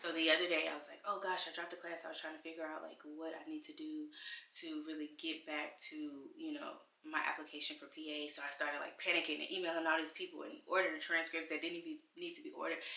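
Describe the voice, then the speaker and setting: A woman talks at a very fast pace, her loudness swinging widely. Room echo is audible. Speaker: mom vlogger.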